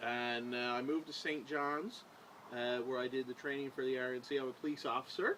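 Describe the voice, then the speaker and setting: A man with a Newfoundland accent, a bright, sharp tone, monotone, flat intonation and a fairly quick pace. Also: medium pitch for a man. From Newfoundland, Corner Brook. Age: 20s. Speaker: police officer, council candidate. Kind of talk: interview.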